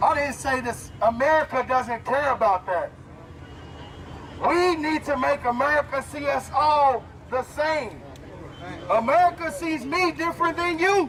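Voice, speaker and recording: Over crowd noise in the background, a man with an extremely high pitch speaks at a fairly slow pace in an animated tone, with ordinary pitch variation and long, frequent pauses. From US South, Louisville, Kentucky. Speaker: pro football player speaking at protest. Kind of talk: protest speech. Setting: outdoors at street protest. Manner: loud.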